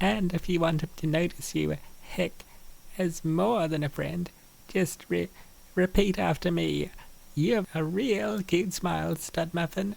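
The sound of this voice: A man's put-on character voice, high-pitched with vocal fry, fairly even intonation and a fairly slow pace. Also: slightly mellow tone.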